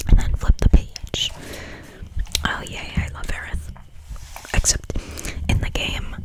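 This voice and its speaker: Long breaks come often in the whispered speech, with clearly audible noise behind it. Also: fairly slow pace. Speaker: ASMR creator. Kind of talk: ASMR reading of a game guide.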